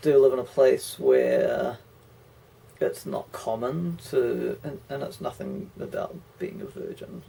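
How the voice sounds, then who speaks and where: A man speaks with a New Zealand accent. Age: 30s. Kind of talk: casual talk to camera.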